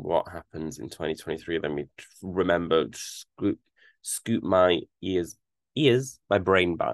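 A man with a British accent speaks at a very slow pace in a very deep, low pitch. The sound is dry and close, with no echo. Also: ordinary pitch variation. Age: 20s. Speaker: podcast host. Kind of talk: solo monologue, casual. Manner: chatty, with frequent fillers.

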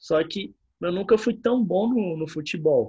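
A man's somewhat breathy voice in a dark, mellow tone with a Brazilian accent, at a fairly slow pace. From Brazil, rural area. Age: 20s. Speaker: podcast host, gym instructor and personal trainer. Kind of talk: casual chat.

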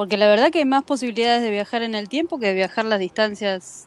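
A woman with an ordinary speaking voice and a fairly high pitch talks at a fairly quick pace with lively intonation, the sound dry and close with no echo. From Argentina. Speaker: podcast co-host. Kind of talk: casual chat.

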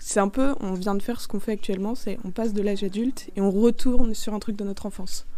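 Amid audible room echo, a woman with a fairly high pitch and a dark, mellow tone talks at a very fast pace with hardly any pauses and fairly even intonation. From rural France. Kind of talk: casual chat.

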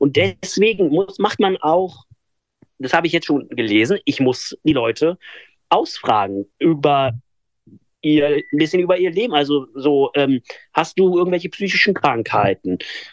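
A man speaks with lively intonation at a fairly high pitch, leaving long, frequent pauses. His loudness stays very even, and the sound is dry and close with no echo. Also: fairly slow pace. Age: 20s. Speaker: blind hypnotist and podcaster. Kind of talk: interview. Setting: radio interview.

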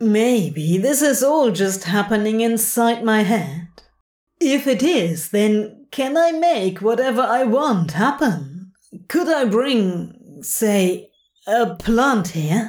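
A female-sounding put-on character voice, fairly high in pitch, at a very slow pace. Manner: anxious, frustrated, sour.

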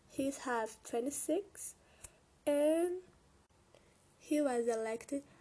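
The speaker is a woman. She has a high pitch. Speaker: English learner presenting a topic. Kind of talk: prepared oral presentation. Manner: halting.

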